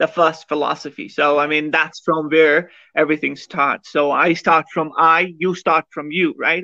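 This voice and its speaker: A man with a fairly high pitch and a bright, sharp tone speaks in a flat monotone, with a dry, close sound that has no echo. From Kashmir. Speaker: podcast guest discussing philosophy of science. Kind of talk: conversational interview. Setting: live-streamed podcast.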